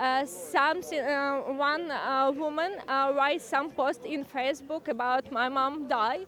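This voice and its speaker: Speaking at a very slow pace, a woman with a Ukrainian accent uses a high pitch. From Ukraine. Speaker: Ukrainian refugee at a rally. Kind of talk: interview testimony. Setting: outdoor rally. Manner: halting.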